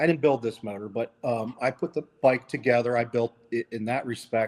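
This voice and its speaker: Fairly even intonation at a moderate pace. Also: man, medium pitch for a man. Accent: Philadelphia. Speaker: vintage motorcycle rider and collector. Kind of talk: casual podcast interview.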